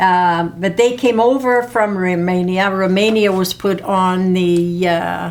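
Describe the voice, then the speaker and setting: Audible room echo surrounds a very slow delivery with fairly even intonation and hardly any pauses. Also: woman, medium pitch for a woman. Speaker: parent being interviewed about family history. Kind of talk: family oral history interview. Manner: halting, many fillers.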